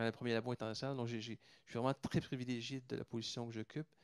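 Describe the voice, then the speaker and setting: The sound is dry and close, with no echo. A man talks at medium pitch. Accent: Canadian French. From Canada. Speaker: pharmaceutical company executive. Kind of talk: round table talk. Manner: hesitant, many fillers and repetitions.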